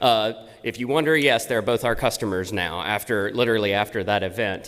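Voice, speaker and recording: Fairly low male voice, fairly quick in pace, with ordinary pitch variation. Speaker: tech company presenter. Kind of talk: conference presentation. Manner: loud.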